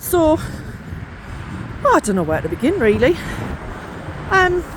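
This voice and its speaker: A woman speaks at a fairly slow pace with a northeast English accent, with noticeable background noise behind her. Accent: northeast English twang. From northeast England. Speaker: podcast host and coach. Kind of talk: casual chat. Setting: outdoors on a walk.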